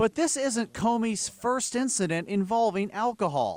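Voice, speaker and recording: Ordinary pitch variation at a moderate pace, on a very clean recording with a silent background. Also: man, high pitch for a man. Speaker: TV news reporter and anchor. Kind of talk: TV news report.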